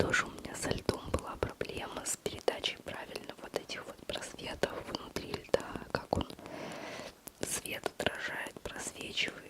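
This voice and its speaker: Noticeable background noise lies under a woman who whispers very slowly. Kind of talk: whispered ASMR talk to camera, personal chat about art struggles. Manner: close-up whisper, intimate.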